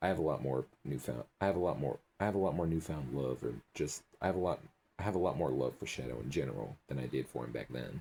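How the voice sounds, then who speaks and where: Delivered at a very fast pace, the voice has a dark, mellow tone, vocal fry and ordinary pitch variation. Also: man, very deep, low pitch for a man. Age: young. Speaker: YouTube reaction video creator. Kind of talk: casual video outro. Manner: animated.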